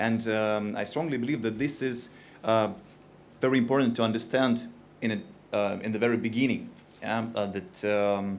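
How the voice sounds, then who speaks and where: Audible room echo surrounds a man with a Russian accent whose medium-pitched voice keeps a fairly even intonation. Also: moderate pace. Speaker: industry company representative. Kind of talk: conference talk. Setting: stage with audience. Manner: hesitant, many fillers.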